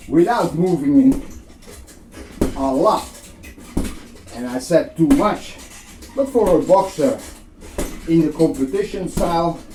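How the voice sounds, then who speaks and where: A man with a high pitch speaks at a fairly slow pace, leaving long, frequent pauses. His pitch swings very widely, and there is noticeable background noise. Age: 60s. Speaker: boxing instructor. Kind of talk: tutorial.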